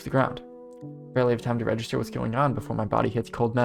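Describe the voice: What we hear is plain reading aloud.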